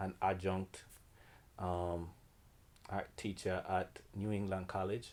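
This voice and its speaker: Speaking with a Jamaican accent, a man uses a very deep, low pitch and monotone, flat intonation in a very clean recording with a silent background. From Jamaica, Kingston. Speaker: painter and art teacher. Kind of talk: artist interview.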